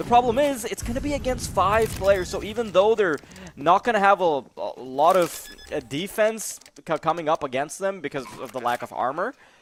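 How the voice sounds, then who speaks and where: Over noticeable background noise, a man with a non-native accent talks in an animated tone at a moderate pace and high pitch, his pitch swinging very widely. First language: not English. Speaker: esports commentator. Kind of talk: live commentary.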